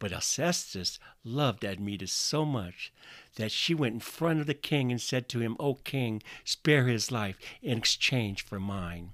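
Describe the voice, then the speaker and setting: A man with an American accent has a plain, everyday voice at a medium pitch, with lively intonation. He speaks at a fairly slow pace on a very clean recording with a silent background. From US Midwest, northwest Iowa. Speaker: podcast preacher. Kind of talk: sermon.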